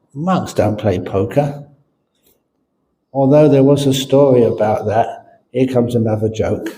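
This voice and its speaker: A man speaks at a fairly slow pace with long, frequent pauses and a medium pitch. His tone is dark and mellow, somewhat breathy, with ordinary pitch variation. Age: 70s. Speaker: Buddhist monk and teacher. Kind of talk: dharma talk with jokes. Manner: casual storytelling.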